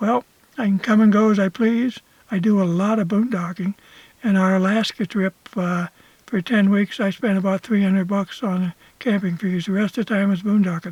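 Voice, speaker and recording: Heard in a dry, close sound with no echo, a man talks at a moderate pace, his high pitch carrying fairly even intonation. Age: 80s+. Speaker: retired solo RV traveler. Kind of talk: interview. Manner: halting, many fillers.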